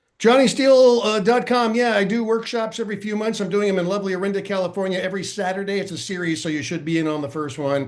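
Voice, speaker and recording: A man's high voice at a very fast pace with hardly any pauses and ordinary pitch variation, with audible room echo. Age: 60s. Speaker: comedian. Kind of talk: casual chat. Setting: podcast panel.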